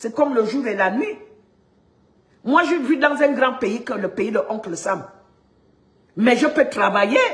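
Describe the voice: With audible room echo, a woman talks at a fairly slow pace and fairly high pitch, using ordinary pitch variation and long, frequent pauses.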